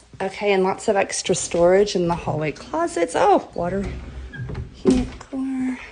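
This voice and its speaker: A woman speaks at a medium pitch and a fairly slow pace, her intonation lively. Noticeable background noise runs underneath. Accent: American. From Orlando, Florida (Bay Hill). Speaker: real estate agent. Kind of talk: live walk-through tour. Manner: casual, chatty.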